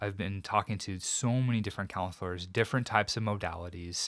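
A man's fairly low voice at a fairly quick pace on a very clean recording with a silent background. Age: 40s. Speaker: triathlon coach and suicide survivor. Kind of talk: interview testimony. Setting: studio. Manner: halting, repeats words.

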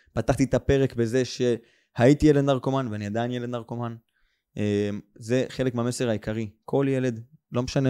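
Speaking at a medium pitch and moderate pace, a man uses a flat, monotone intonation and a dark, mellow tone, with a dry, close sound with no echo on a very clean recording with a silent background. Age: 20s. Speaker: podcast host and studio owner. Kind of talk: casual monologue. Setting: studio. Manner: casual, unscripted free flow.

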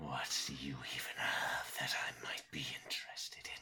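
A put-on character voice moves at a moderate pace. Noticeable background noise is present. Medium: actual play. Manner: greedy, menacing, hungry.

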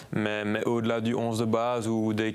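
The speaker is a man with a fairly low pitch. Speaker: professional footballer. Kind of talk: interview.

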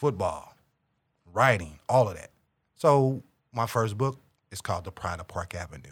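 Somewhat breathy and fairly low in pitch, a man speaks in an American accent with lively intonation and long, frequent pauses. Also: moderate pace, big swings in loudness. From St. Louis, Missouri, US. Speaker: opinion writer and author. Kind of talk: podcast interview. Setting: studio.

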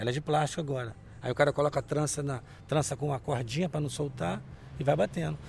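Here a man speaks very fast with a fairly high pitch and vocal fry. His pitch varies in an ordinary way. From Rio de Janeiro, Brazil (Deodoro). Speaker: carnival group founder. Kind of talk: casual interview.

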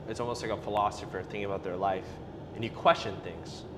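A man with an American accent speaks in a fairly low voice with fairly even intonation. Noticeable background noise runs behind him. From US, Boston area. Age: 20s. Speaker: breathwork instructor. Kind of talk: casual interview.

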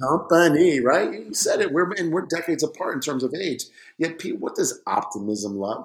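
With an American accent, a high-pitched man speaks at a moderate pace, his intonation lively. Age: 50s. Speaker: podcast guest, former Spanish teacher. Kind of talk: casual chat.

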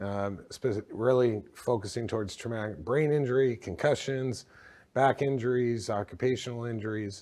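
A man's dark, mellow voice at medium pitch, with ordinary pitch variation, a moderate pace and a quiet background. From Texas, moved from Michigan as a child. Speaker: healthcare company co-founder. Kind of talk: interview.

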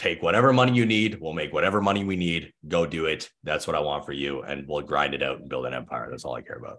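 With a Canadian accent, a man speaks at a very fast pace with hardly any pauses, in a very deep, low pitch with vocal fry. His intonation is lively, and his loudness swings widely. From Thunder Bay, Ontario, Canada. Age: 20s. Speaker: fitness and business coach. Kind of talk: casual interview chat.

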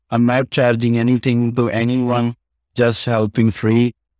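A man with a Punjabi accent speaks at a medium pitch and a fairly slow pace. The sound is dry and close with no echo, a very clean recording with a silent background. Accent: Indian (Punjabi) English. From India (Punjab). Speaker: real estate team leader. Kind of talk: interview. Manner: halting.

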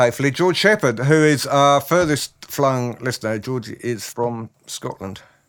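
A man with a New Zealand accent speaks at a fairly slow pace with hardly any pauses. His pitch is medium, with ordinary variation. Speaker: podcast host. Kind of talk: casual interview. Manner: jokey, teasing.

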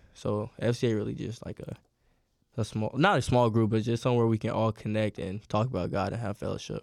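Against a silent background in a very clean recording, a man with a normal speaking voice and a medium pitch talks at a fairly quick pace with fairly even intonation. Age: 20s. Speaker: college track athlete. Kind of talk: casual chat.

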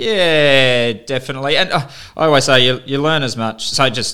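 Recorded very cleanly against a silent background, a man with an Australian accent speaks at a medium pitch in a bright, sharp tone. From Melbourne, Australia. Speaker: farmer. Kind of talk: interview. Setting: in person.

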